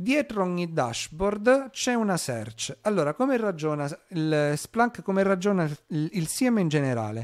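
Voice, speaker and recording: Against a quiet background, a man with a high pitch talks at a fairly slow pace, his pitch swinging very widely. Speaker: cybersecurity streamer presenting a blue team segment; cybersecurity streamer. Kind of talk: live-stream tutorial. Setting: live stream. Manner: hesitant, many filler sounds. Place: home room. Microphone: mic level adjusted, first too quiet then too loud.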